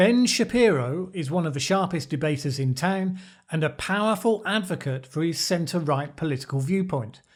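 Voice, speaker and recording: A man with a British accent and a high pitch talks at a moderate pace with lively intonation and hardly any pauses. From Britain. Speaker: political commentator. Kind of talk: video essay commentary.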